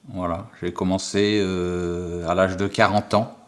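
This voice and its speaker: A man speaks at a very slow pace. His pitch is fairly low and his intonation monotone and flat. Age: 60s. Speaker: amateur wheelchair athlete. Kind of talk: interview testimony.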